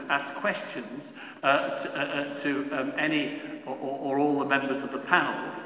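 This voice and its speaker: A man with a fairly high voice is speaking. There is audible room echo and light background noise. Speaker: panel chair, lawyer. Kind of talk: panel Q&A moderation. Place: hall. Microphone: podium.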